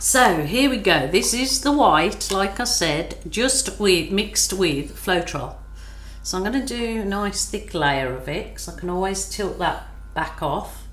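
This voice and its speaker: At a fairly slow pace, the speaker uses a relaxed tone, with audible room echo and noticeable background noise. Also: woman. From England, Birmingham. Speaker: acrylic pouring artist. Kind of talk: art tutorial. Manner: relaxed, slow.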